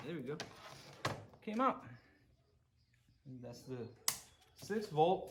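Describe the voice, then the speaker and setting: With very wide pitch swings, a man speaks at a fairly slow pace with long, frequent pauses and audible room echo. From Puerto Rico. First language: Spanish. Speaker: VW mechanic and YouTuber. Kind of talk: casual workshop vlog. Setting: garage workshop. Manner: halting, many fillers and repeats.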